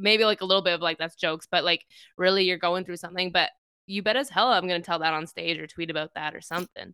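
In a Canadian accent, a woman speaks at a fairly quick pace with a bright, sharp tone on a very clean recording with a silent background. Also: dry, close sound with no echo. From Middle Eastern heritage. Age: 30s. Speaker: podcast host, improviser. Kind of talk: casual interview chat.

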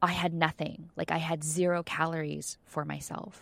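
In a very clean recording with a silent background, a woman with a fairly low pitch speaks at a very slow pace. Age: 40s. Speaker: author and theatre artist. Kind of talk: casual chat.

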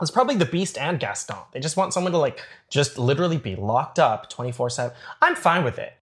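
Over a very clean recording with a silent background, a man with a Canadian accent speaks at a very fast pace with vocal fry. His pitch is fairly high and swings very widely. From Toronto, Canada. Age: 30s. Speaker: baker and reality show contestant. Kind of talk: casual interview chat.

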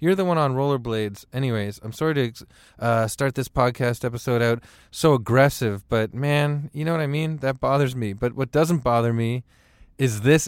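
In a very clean recording with a silent background, a man with a plain, everyday voice talks at a medium pitch and moderate pace, with ordinary pitch variation. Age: 40s. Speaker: podcast host. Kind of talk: casual chat.

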